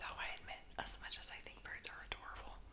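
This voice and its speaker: Whispering from a woman, moderate in pace. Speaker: ASMR creator and painter. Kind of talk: ASMR whispering, casual talk to camera. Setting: home recording with outdoor noise. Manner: soft, whispered, conversational with filler words. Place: home room. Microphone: studio mic.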